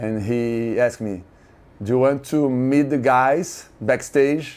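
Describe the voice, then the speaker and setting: This man's voice has a medium pitch. He talks at a very slow pace. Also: ordinary pitch variation. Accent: Brazilian Portuguese. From Brazil (Santos). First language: Portuguese. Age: 50s. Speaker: music fan. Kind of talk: interview storytelling. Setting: hotel room. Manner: halting, many fillers and repeats; animated.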